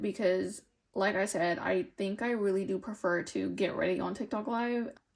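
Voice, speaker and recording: Speaking at a moderate pace, a woman talks with an American accent. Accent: American, sometimes taken for Canadian. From California, US. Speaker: lifestyle vlogger. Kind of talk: casual chat. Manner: rambling, filler-heavy.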